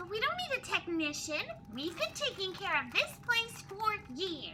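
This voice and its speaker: In a put-on character voice, a woman speaks at an extremely high pitch and a moderate pace. Clear background noise is present. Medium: audio drama. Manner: exasperated.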